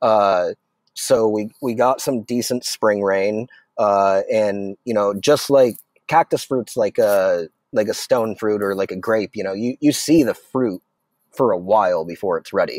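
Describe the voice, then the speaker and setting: A man with an American accent and an ordinary speaking voice talks at a fairly slow pace and fairly low pitch, with ordinary pitch variation, in a dry, close recording with no echo. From Arizona. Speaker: chef and restaurant owner. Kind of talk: casual chat.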